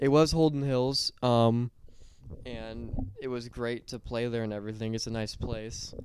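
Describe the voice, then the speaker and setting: Here is a man with a normal speaking voice and a medium pitch. He moves at a moderate pace with fairly even intonation. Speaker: podcast guest. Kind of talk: casual chat.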